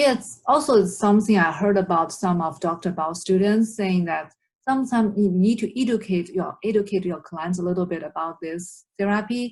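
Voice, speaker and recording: Somewhat breathy, a woman's voice with ordinary pitch variation. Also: medium pitch for a woman, moderate pace. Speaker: therapy student and interviewer. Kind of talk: interview host questions.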